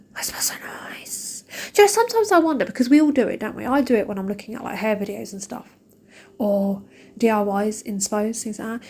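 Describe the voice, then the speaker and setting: Somewhat breathy and fairly quick, a woman with an English accent speaks in a dark, mellow tone at a fairly high pitch. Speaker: shopping vlogger. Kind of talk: casual vlog chat. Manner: fast; animated.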